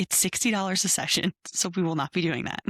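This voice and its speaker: A woman whispering, somewhat breathy, at a fairly quick pace, dry and close with no echo on a very clean recording with a silent background. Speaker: podcast co-host, new mom. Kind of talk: casual chat. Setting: home, kneeling around a shared microphone. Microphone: broken mics, sharing one microphone.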